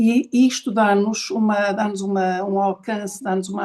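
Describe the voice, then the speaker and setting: A woman is talking. Her voice is medium in pitch. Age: 60s. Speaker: podcast host and speaker on ageing. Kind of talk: online talk session. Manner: halting, with many repetitions.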